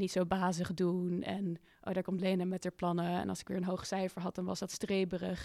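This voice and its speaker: On a very clean recording with a silent background, a woman with a dark, mellow tone speaks at a moderate pace in a medium pitch with monotone, flat intonation. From Netherlands, Amsterdam. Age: 20s. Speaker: climate activist. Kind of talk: interview conversation. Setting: studio in a building in the woods.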